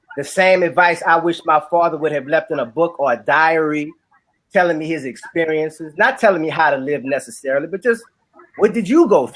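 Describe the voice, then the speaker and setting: At a fairly quick pace, the voice moves with ordinary pitch variation. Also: man, fairly high pitch for a man. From New Orleans, Louisiana. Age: 40s. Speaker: musician and author. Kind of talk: casual chat.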